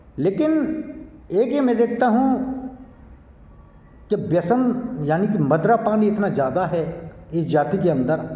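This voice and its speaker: The pitch swings very widely. Room echo is audible. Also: man. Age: 60s. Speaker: environmental activist, social commentator. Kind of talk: monologue to camera. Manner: exhortative.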